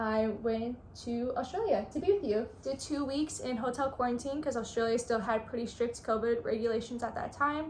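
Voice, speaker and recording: Noticeable background noise sits behind a woman with an American accent. She speaks at a moderate pace in a high voice with ordinary pitch variation. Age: 20s. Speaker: travel vlogger. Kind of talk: casual chat. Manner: hesitant, many fillers.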